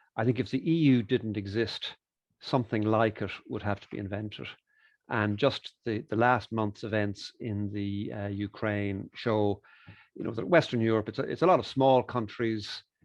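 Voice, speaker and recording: A man with an Irish accent at a fairly low pitch and moderate pace, with ordinary pitch variation and big swings in loudness. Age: 60s. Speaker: economist and author. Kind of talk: interview. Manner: hesitant fillers.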